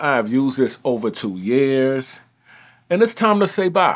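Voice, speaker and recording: Lively intonation colors a normal speaking voice moving at a fairly slow pace. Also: man. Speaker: photographer. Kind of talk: vlog monologue.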